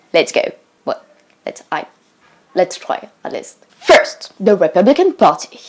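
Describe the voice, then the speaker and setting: A woman is speaking. She has a French accent. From France. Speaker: student vlogger. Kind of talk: casual explainer video. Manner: animated.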